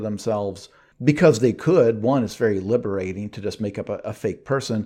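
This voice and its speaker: Over a quiet background, a man with a dark, mellow tone talks very fast in an American accent. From rural US town. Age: 40s. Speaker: novelist. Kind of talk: casual interview conversation.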